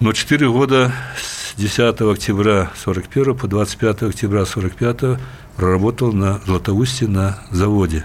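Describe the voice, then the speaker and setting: This man speaks at a very slow pace, his fairly low pitch showing ordinary variation. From southern Belarus (Kalinkovichi). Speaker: ambassador, former vice-premier. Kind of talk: interview. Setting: studio.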